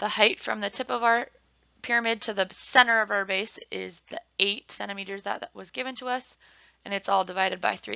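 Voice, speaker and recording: A woman with an unremarkable speaking voice talks at a fairly quick pace, with a medium pitch and ordinary pitch variation. Her loudness swings a lot. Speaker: math teacher. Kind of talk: tutorial.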